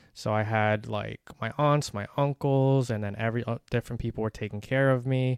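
In an American accent, a man with a plain, everyday voice talks at a medium pitch and a moderate pace, with fairly even intonation and hardly any pauses, in a dry, close recording with no echo. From United States. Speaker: podcast co-host. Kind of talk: casual chat.

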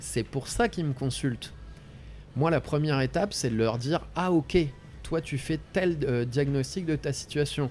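This man's voice sits fairly high and sounds somewhat breathy. He speaks at a fairly slow pace. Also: ordinary pitch variation. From France, Ardennes. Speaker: coach. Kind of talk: interview conversation.

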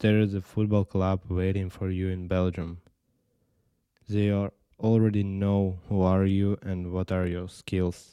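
Very deep and low, a man's dark, mellow voice moves at a fairly slow pace in a flat monotone, recorded dry and close with no echo, very clean, against a silent background. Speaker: youth football player. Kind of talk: podcast monologue.

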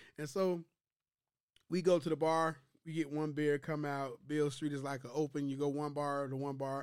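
Here a man speaks in a flat monotone with an American accent. His pitch is fairly high, and the recording is very clean with a silent background. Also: moderate pace. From US Midwest, Chicago. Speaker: podcast co-host. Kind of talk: casual chat.

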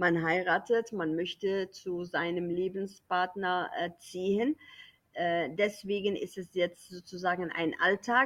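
A woman with a non-native accent, medium pitch and ordinary pitch variation, speaking at a very slow pace. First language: not German (speaking German). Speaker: German teacher. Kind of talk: casual chat.

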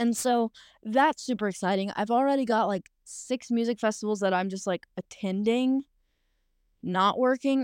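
A woman speaks at a fairly slow pace with a fairly high pitch and ordinary pitch variation. The sound is dry and close with no echo, in a very clean recording over a silent background. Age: 20s. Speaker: podcast host. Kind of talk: casual solo monologue, excited. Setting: in a car. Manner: excitable, animated; casual, profane.

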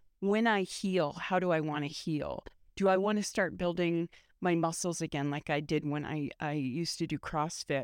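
A plain, everyday voice moves at a moderate pace with ordinary pitch variation, in a dry, close sound with no echo. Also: woman, fairly low pitch for a woman, quiet background. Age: 50s. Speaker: podcast host. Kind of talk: casual monologue.

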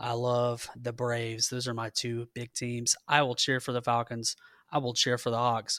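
On a very clean, dry, close recording with a silent background and no echo, a man with a medium pitch and a bright, sharp tone speaks in a flat monotone at a moderate pace with a Southern US accent. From Georgia. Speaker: sports podcast co-host. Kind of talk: casual chat.

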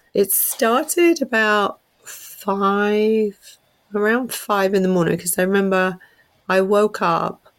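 With an English accent, a woman speaks at a very slow pace. Her loudness is very even and her pitch varies in an ordinary way. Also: medium pitch for a woman. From England. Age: 50s. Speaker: artist and painting teacher. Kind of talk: storytelling interview. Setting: remote call. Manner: laughs often, chatty.

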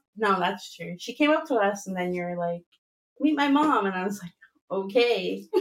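With an ordinary speaking voice, a woman talks at a moderate pace and medium pitch, her intonation lively and her loudness swinging widely. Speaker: early childhood educator. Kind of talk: casual chat. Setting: studio.

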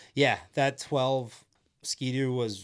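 Recorded very cleanly against a silent background, a man talks at a medium pitch with a Canadian Prairies accent. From Saskatchewan, Canada. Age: 40s. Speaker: former snocross racer and race commentator. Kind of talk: casual interview chat. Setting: studio.

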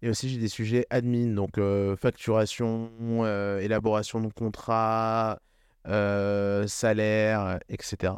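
Over a quiet background, a man speaks very slowly at a fairly low pitch with monotone, flat intonation. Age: 20s. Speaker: agency founder and CEO. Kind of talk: interview. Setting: living room.

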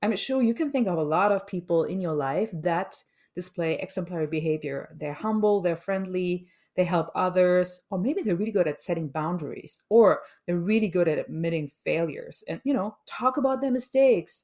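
Moderate pace and lively intonation. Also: woman, medium pitch for a woman. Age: 40s. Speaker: podcast host, change management consultant. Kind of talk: solo podcast monologue. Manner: unscripted, occasionally searching for words.

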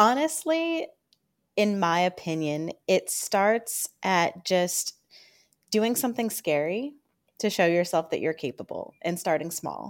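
In an unremarkable speaking voice, a woman talks at a medium pitch and fairly slow pace with lively intonation, on a very clean recording with a silent background. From Northern Virginia, US. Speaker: career coach. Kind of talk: interview.

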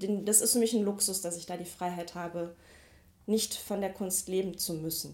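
With an ordinary speaking voice, a woman talks at a medium pitch and moderate pace with fairly even intonation. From Ruhr area, Mülheim an der Ruhr. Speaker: street artist and photographer. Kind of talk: interview. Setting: home office.

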